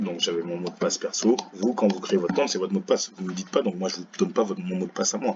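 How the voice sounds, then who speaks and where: Someone talks at a very fast pace with noticeable background noise. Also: man. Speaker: teacher. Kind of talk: tutorial. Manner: casual, relaxed.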